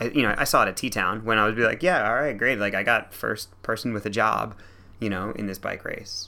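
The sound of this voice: A man talks at a fairly quick pace with fairly even intonation. His fairly low voice has vocal fry and a bright, sharp tone.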